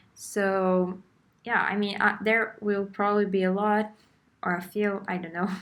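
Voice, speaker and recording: On a very clean recording with a silent background, a woman speaks at a fairly slow pace and medium pitch. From Brazil. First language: Portuguese. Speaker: beginner artist vlogger. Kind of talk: casual tutorial voiceover. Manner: hesitant, with fillers.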